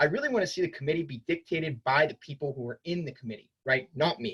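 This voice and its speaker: Somewhat breathy, a man talks at a fairly quick pace with a fairly high pitch. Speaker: student government representative. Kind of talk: campaign speech. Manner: fast.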